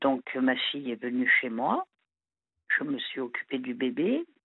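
At a very slow pace, a woman speaks with very deep, low pitch and fairly even intonation. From southern France. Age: 50s. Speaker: caller. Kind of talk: phone-in confession. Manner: halting.

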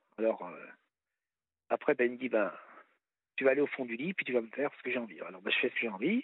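A man at medium pitch with ordinary pitch variation, very fast pace, and long, frequent pauses. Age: 50s. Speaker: caller. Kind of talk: personal testimony on radio call-in. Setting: phone call.

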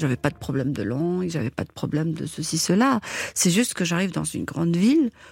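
A woman's fairly low voice, very wide pitch swings, a fairly quick pace, and a dry, close sound with no echo. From Algeria, Algiers area, Kabyle family. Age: 50s. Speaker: caterer. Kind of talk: personal testimony. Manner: energetic; hesitant fillers.

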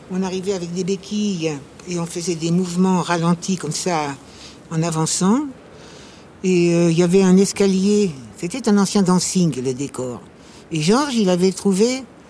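A woman's medium-pitched voice with ordinary pitch variation, a fairly slow pace, long and frequent pauses, and noticeable background noise. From Paris. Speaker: actress. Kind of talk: casual chat. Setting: outdoors.

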